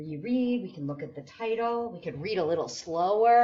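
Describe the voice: Lively intonation in plain reading aloud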